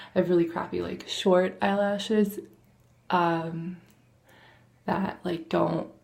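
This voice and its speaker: Audible room echo surrounds a woman who speaks quietly at a very slow pace, with long, frequent pauses. Her fairly low pitch keeps a fairly even intonation. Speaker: vlogger. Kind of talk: casual makeup tutorial. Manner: quiet, hushed; hesitant, lots of fillers.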